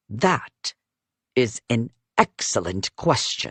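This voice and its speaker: Using a put-on character voice, a man speaks fairly slowly at a medium pitch. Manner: through clenched teeth, tense and sarcastic.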